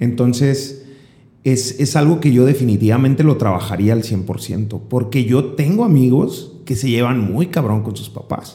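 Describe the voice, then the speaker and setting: Speaking at a fairly slow pace, a man has a somewhat breathy voice with a dark, mellow tone. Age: 20s. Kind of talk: casual chat.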